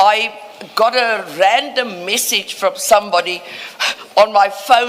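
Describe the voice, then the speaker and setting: Noticeable background noise sits behind the speaker. He is a man with a high pitch and ordinary pitch variation. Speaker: lawyer. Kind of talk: formal inquiry hearing. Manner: loud.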